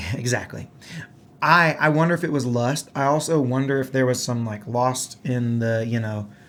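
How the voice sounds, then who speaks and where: A man with a Southern US accent, moderate in pace, with ordinary pitch variation. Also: medium pitch for a man. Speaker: gaming podcast host and musician. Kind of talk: casual chat.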